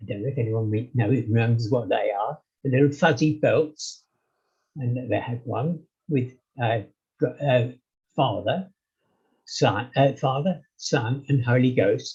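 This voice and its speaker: Speaking with an English accent at a fairly slow pace, a man sounds somewhat breathy, uses ordinary pitch variation, and leaves long, frequent pauses. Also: medium pitch for a man. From England. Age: 80s+. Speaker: interview guest. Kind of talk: casual chat. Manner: halting, many fillers.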